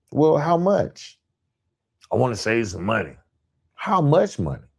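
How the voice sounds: In a very clean recording with a silent background, a man speaks at a medium pitch with vocal fry, a slightly mellow tone, a slightly husky edge, and very wide pitch swings. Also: fairly slow pace.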